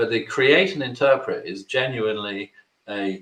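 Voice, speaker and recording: The tone is bright and sharp, with a British accent. Pitch varies in an ordinary way at a moderate pace. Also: man. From Britain. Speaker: webinar presenter. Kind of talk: webinar presentation.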